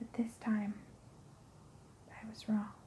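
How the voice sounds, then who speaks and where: A soft-spoken, very slow delivery over noticeable background noise. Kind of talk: ASMR scary story narration, first person.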